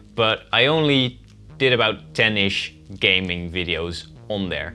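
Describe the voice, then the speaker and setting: Music plays in the background. A man with a Dutch accent speaks at a fairly low pitch with lively intonation. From Netherlands. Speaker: YouTuber. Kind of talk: casual vlog.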